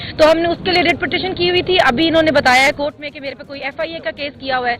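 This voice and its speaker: The pitch rises and falls in an ordinary way. Music can be heard behind the voice. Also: woman. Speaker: politician. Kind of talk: press talk. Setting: outdoors.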